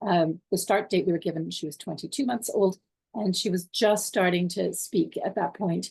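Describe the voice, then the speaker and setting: A woman speaks with a Canadian accent. Her voice is somewhat breathy. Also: medium pitch for a woman, ordinary pitch variation, moderate pace. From Canada. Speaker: parent. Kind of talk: interview.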